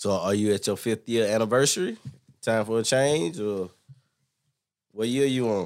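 At a moderate pace and medium pitch, a man talks with ordinary pitch variation and long, frequent pauses. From US South, LaGrange, Georgia. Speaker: schoolteacher. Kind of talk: casual chat.

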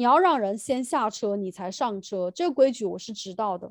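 Over a quiet background, a woman with an unremarkable speaking voice talks at a moderate pace with lively intonation. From mainland China. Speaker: podcast host, teacher. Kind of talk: casual chat.

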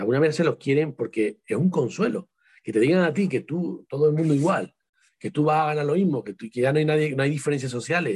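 Very fast and somewhat breathy, a man speaks at a fairly high pitch with lively intonation. The sound is dry and close, with no echo. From Spain, Seville. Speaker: writer and psychologist. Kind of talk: interview.

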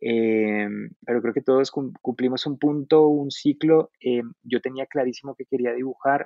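The delivery is fairly slow and the intonation fairly even. It is a normal speaking voice. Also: man, medium pitch for a man. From Colombia, Boyacá. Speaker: illustrator. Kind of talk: casual chat.

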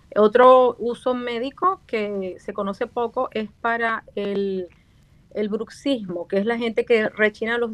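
A woman speaks in a plain, everyday voice at a fairly high pitch with fairly even intonation. The sound is dry and close, with no echo. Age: 50s. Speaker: facial aesthetics doctor and dentist. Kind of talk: radio interview.

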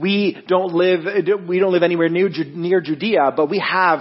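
There is noticeable background noise as a man with a high voice speaks in a Canadian accent. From Ontario, Canada (Guelph). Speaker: worship director. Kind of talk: interview and sermon. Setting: church.

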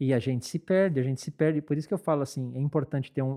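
This man's voice is fairly high. It carries a dark, mellow tone. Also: dry, close sound with no echo. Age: 40s. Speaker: church worship leader. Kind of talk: casual chat.

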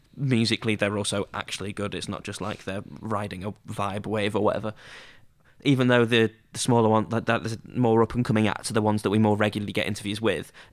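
Over a silent background in a very clean recording, a man with a fairly low pitch talks at a very fast pace in a monotone, flat delivery. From northern England, Scunthorpe area (Lincolnshire). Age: 20s. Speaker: student radio station head. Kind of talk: casual chat. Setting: studio.

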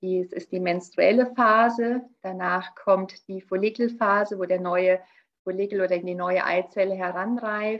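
A woman talks in a plain, everyday voice at a medium pitch. She goes at a fairly slow pace with fairly even intonation. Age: 40s. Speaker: naturopath and nutrition coach. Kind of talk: interview.

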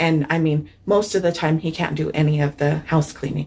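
A somewhat breathy woman's voice, very deep and low for a woman, at a moderate pace. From San Luis Valley, Colorado. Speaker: newspaper reporter. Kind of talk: casual interview chat.

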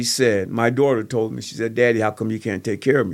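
Fairly even intonation runs through a normal speaking voice. The speaker talks with an American accent. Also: man. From Kenosha, Wisconsin (US Midwest). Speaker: youth basketball coach and former prisoner. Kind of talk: testimony.

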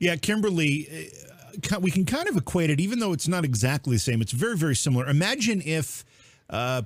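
A man with a fairly high pitch speaks in a somewhat breathy voice with lively intonation. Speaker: podcast host. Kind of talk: political talk show.

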